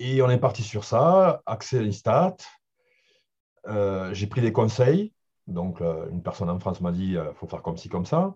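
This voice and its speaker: A man's somewhat breathy, fairly low voice with lively intonation, a fairly slow pace and long, frequent pauses, over a quiet background. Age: 40s. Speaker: football data analyst. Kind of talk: interview. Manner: halting.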